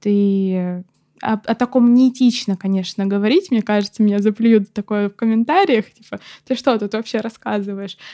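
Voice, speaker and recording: A woman talks at a fairly high pitch with a dark, mellow tone. The sound is dry and close with no echo, and the background is quiet. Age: 20s. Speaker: paramedic student. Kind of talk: casual chat. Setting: studio.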